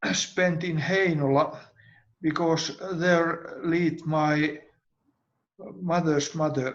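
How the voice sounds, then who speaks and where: A man with a Swedish accent and high pitch talks at a very slow pace, leaving long, frequent pauses. His intonation stays fairly even. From Finland, Helsinki. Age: 80s+. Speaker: grandparent sharing life story. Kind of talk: personal storytelling on video call. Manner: halting.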